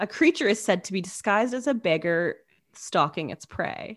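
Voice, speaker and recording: With an unremarkable speaking voice and a Canadian accent, a woman talks at a moderate pace and medium pitch, her intonation lively, in a very clean recording with a silent background. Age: 30s. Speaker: podcast co-host. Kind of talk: casual storytelling chat.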